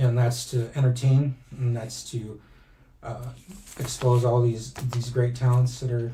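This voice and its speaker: Somewhat breathy and dark, mellow in tone, a man speaks with monotone, flat intonation. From raised in US by American family, born in Mexico. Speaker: pro wrestling timekeeper. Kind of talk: casual interview chat. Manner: stuttering, halting.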